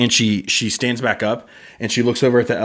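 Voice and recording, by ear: A speaker reads aloud in a natural voice.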